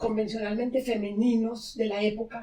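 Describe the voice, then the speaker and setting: A woman speaks with a dark, mellow tone at a fairly high pitch. Her intonation stays monotone and flat. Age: 70s. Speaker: podcast host and therapist. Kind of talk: podcast conversation. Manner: halting.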